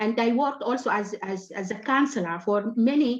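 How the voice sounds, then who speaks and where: A woman with an Arabic accent speaks at a moderate pace, fairly high in pitch with ordinary pitch variation. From Sudan. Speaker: writer and activist. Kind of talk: panel discussion. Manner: halting.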